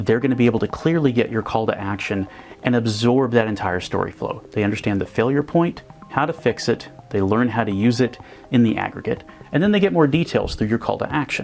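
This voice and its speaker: A man speaks at a fairly quick pace over music in the background. His medium pitch carries lively intonation. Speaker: presenter and video parody producer. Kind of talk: explanatory presentation talk to camera.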